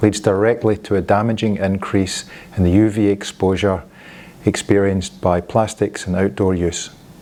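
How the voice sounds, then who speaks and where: A man with a Scottish accent, fairly low in pitch, his intonation monotone and flat. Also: moderate pace. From Scotland. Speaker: industry presenter. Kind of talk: corporate presentation. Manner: formal.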